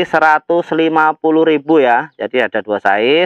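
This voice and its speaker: Man with an unremarkable speaking voice, fairly high-pitched with ordinary pitch variation, over a quiet background. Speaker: plant seller. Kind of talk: street-market style sales pitch, reeling off plant names and prices. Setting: video recorded at plant nursery. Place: garden. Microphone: phone near.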